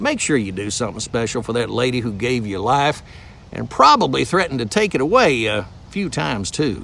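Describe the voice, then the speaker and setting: Speaking at a fairly quick pace, a man with a Southern US accent uses lively intonation. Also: medium pitch for a man. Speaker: voice actor. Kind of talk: humorous trivia storytelling to camera.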